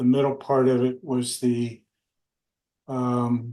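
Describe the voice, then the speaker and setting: With an American accent, a man speaks at a very slow pace in a dark, mellow tone of medium pitch, his intonation monotone and flat. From Texas. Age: 70s. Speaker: war veteran. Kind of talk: oral history interview.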